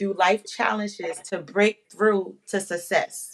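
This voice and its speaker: The woman speaks at a very slow pace. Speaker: podcast host. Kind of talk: casual interview.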